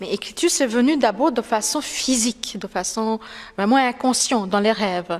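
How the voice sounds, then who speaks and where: A woman's fairly high voice with a non-native accent, at a moderate pace, with ordinary pitch variation. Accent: foreign accent in French. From India, Calcutta. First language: Bengali (speaking French). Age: 40s. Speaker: writer. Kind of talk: interview. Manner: halting, many hesitations.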